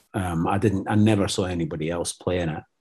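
A man speaks with a Scottish accent and a dark, mellow tone. His pitch varies in an ordinary way against a quiet background. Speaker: actor. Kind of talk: casual interview.

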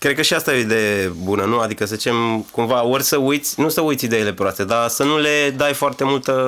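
A man with a normal speaking voice talks at medium pitch and a fairly quick pace, with very even loudness and ordinary pitch variation. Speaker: podcast host and DJ. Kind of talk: interview. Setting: studio.

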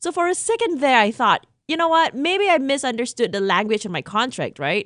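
A woman speaks at a fairly quick pace with a high pitch and very wide pitch swings, in a dry, close sound with no echo and a quiet background. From Singapore. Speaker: podcast host. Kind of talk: solo podcast monologue. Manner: conversational.

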